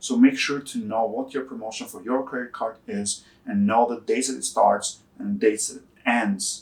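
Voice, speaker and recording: Barely pausing, a man with a non-native accent speaks at a moderate pace and medium pitch, with ordinary pitch variation and big swings in loudness. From Albania. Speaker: personal finance YouTuber. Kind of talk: casual explainer talk to camera.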